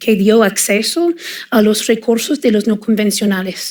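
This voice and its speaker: A woman speaks at a fairly high pitch with a slight non-native accent. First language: English (speaking Spanish). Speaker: oil and gas industry expert. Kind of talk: panel discussion. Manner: hesitant, many fillers.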